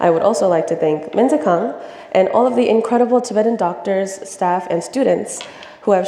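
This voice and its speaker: A woman with an American accent at a fairly quick pace, ordinary pitch variation, and noticeable background noise. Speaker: student presenter. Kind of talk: presentation.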